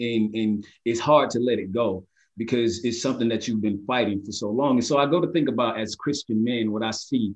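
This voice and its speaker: Fairly quick in pace, a man talks in a medium pitch with fairly even intonation. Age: 30s. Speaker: podcast co-host. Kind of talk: faith discussion podcast.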